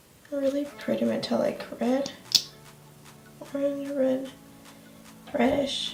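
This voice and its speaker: Speech comes at a very slow pace, broken by long, frequent pauses. Music plays in the background. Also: woman. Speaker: beauty blogger. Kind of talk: casual unboxing review to camera.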